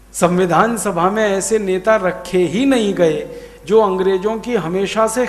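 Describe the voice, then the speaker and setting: A man speaks at a high pitch with ordinary pitch variation. Noticeable background noise runs underneath. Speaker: public lecturer / orator. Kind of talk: public lecture at a Hindi Day event. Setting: live stage event addressing an audience. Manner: passionate, persuasive oratory.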